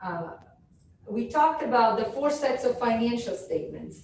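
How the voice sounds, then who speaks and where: A woman speaks at a moderate pace in a fairly high voice. Room echo and background noise are both noticeable. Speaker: professor. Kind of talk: lecture. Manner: loud.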